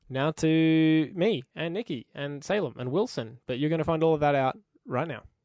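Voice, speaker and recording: A man with an Australian accent speaks in an upbeat tone, the sound dry and close with no echo. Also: very clean recording, silent background. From Queensland, Australia. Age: 20s. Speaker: podcast host. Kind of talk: casual chat. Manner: upbeat, friendly.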